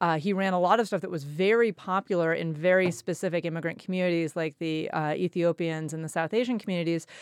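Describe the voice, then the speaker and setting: A woman's normal speaking voice, fairly low in pitch, with ordinary pitch variation. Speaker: public affairs editor. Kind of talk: panel discussion.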